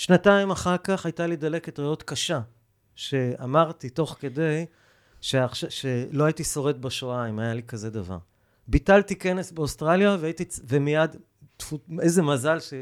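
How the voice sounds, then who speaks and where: On a very clean recording with a silent background and a dry, close sound with no echo, a man with a fairly high pitch speaks at a fairly slow pace with ordinary pitch variation and long, frequent pauses. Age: 50s. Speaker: environmental ethics lecturer and author. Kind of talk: interview. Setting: studio.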